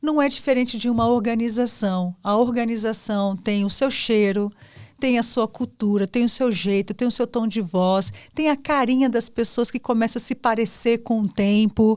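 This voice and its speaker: A woman with an unremarkable speaking voice talks at a moderate pace in a fairly high pitch, her loudness very even. The recording is very clean, with a silent background. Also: fairly even intonation. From São Paulo, Brazil. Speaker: podcast host, consultancy founder. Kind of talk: podcast interview.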